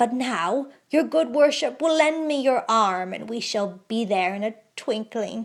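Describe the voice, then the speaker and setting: In a put-on character voice, a woman cackles at a fairly high pitch and a fairly slow pace with hardly any pauses, on a very clean recording with a silent background. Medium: read story. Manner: cackling, archaic speech.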